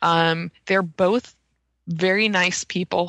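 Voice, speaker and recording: The tone is bright and sharp, and the sound is dry and close with no echo. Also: woman. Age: young. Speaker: UFO journalist. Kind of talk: casual interview chat.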